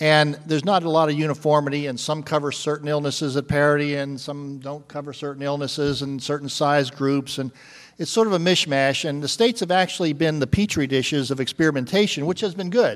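With a normal speaking voice, a man talks at a fairly quick pace with ordinary pitch variation over a quiet background. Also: fairly high pitch for a man, hardly any pauses. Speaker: actuary and health policy executive. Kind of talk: panel discussion. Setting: stage with audience.

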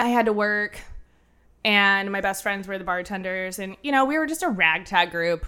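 A woman's bright, sharp voice at medium pitch, moderate in pace, with ordinary pitch variation, on a very clean recording with a silent background. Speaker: bartender. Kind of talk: casual interview.

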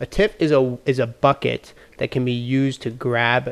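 Using an unremarkable speaking voice, a man talks at a medium pitch with fairly even intonation. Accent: American. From US Midwest, Chicago area. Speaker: podcast host. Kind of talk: casual debate between friends.

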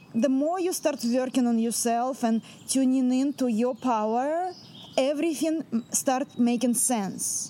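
A woman with a Russian accent talks at a high pitch and a fairly slow pace. Her loudness stays very even, and her pitch varies in an ordinary way. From central Russia. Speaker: shamanic performance artist. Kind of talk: interview monologue.

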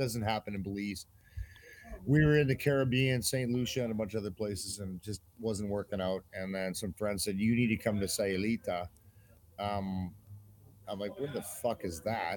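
With a Canadian accent, a man speaks at a fairly low pitch. His is an unremarkable speaking voice with ordinary pitch variation. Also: moderate pace. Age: 50s. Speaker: army veteran. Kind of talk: casual interview.

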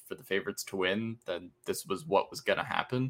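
An ordinary speaking voice from a man, medium pitch, ordinary pitch variation, moderate pace. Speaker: podcast co-host. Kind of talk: casual chat.

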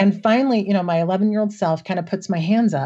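A woman with an American accent speaks at a fairly quick pace in a medium pitch, her tone dark and mellow. Her voice is somewhat breathy, and the background is quiet. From US Midwest. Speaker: podcast guest sharing personal story. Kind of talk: casual interview, personal storytelling.

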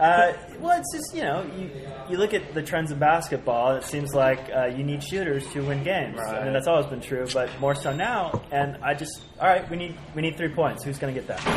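Over noticeable background noise, a man speaks at a fairly quick pace and fairly high pitch with ordinary pitch variation. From San Francisco Bay Area. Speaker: podcast host and sports commentator. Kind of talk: casual roundtable chat. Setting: recording live at a sports bar.

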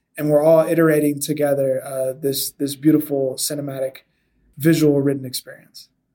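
Fairly high for a man yet dark and mellow in tone, his voice moves at a moderate pace with monotone, flat intonation. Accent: Californian. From Southern California. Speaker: video game developer and sci-fi author. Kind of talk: casual interview.

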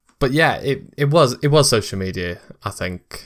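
In a very clean recording with a silent background, a man uses a plain, everyday voice at a fairly slow pace with lively intonation. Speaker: podcast host. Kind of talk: casual interview chat.

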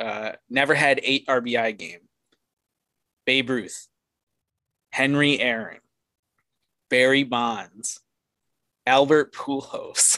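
A man speaks very slowly with a northeastern Pennsylvania accent, his bright, sharp tone and fairly even intonation broken by long, frequent pauses. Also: medium pitch for a man. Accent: Scranton. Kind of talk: casual chat.

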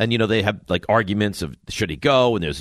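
An ordinary speaking voice with an American accent. The pace is fairly quick. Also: man. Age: 40s. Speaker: sports radio host. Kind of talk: sports talk radio.

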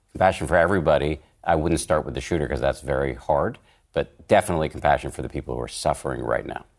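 A man talks very fast in a very deep, low voice with vocal fry. His pitch varies in an ordinary way. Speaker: podcast host and journalist. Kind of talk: panel discussion.

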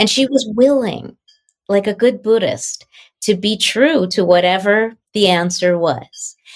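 An unremarkable speaking voice from a woman, fairly high in pitch, at a fairly slow pace with ordinary pitch variation. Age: 60s. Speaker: author and translator of mystical texts. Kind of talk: casual conversation.

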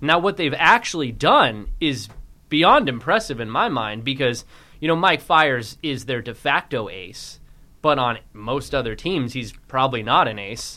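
Speaking at a fairly slow pace, a man with an unremarkable speaking voice uses a medium pitch, lively intonation and big swings in loudness. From US West, San Francisco Bay Area. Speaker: sports podcast co-host. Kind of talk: casual sports chat. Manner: giggly, laughing.

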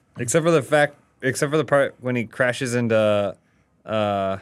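This man has an unremarkable speaking voice at a medium pitch with ordinary pitch variation. He talks at a moderate pace. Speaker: podcast co-host. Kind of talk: casual chat. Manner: joking.

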